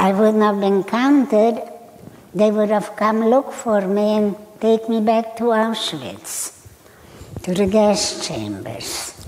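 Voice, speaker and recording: With light background noise, a woman speaks at a very slow pace and fairly even intonation. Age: 80s+. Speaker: Holocaust survivor. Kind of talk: personal testimony to live audience. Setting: auditorium stage. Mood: calm, somber recounting. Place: stage.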